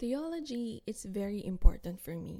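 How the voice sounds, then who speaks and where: Her pitch moves in an ordinary way as this woman speaks. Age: 20s. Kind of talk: devotional teaching. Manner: animated.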